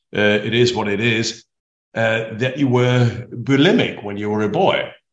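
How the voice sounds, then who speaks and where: A man with a German accent speaks at a medium pitch. His pitch varies in an ordinary way. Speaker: podcast host, speaker agency head. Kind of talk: interview.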